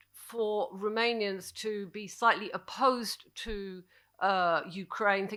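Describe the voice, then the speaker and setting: With a British accent, a woman speaks at medium pitch in a bright, sharp tone with fairly even intonation. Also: very clean recording, silent background. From Britain. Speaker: journalist, panelist. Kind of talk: panel discussion. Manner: halting, many fillers.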